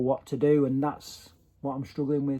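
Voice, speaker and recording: With a British accent, a man speaks at a moderate pace in a dark, mellow tone, pitched fairly high for a man. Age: 40s. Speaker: vlogger. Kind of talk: personal video diary. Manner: halting.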